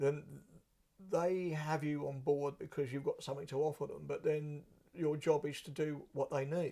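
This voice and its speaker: A man talks at a moderate pace in a fairly high voice with a dark, mellow tone. He sounds somewhat breathy, and his intonation is monotone and flat. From southern England. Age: 60s. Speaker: blues musician. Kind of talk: interview.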